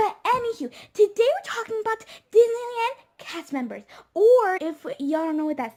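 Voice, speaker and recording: A woman talks in a squeaky voice. Her pitch swings very widely. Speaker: YouTuber. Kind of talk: casual vlog.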